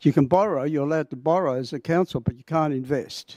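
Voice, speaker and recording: With a dry, close sound with no echo and a very clean recording with a silent background, a man speaks at a fairly high pitch in a dark, mellow tone. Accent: Australian. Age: 70s. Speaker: public speaker at council meeting. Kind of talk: public statement. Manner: halting.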